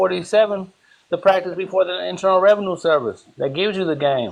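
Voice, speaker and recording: A man speaks at a very fast pace in a high pitch. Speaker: legal and tax process teacher. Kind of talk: heated live-stream discussion. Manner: loud when frustrated.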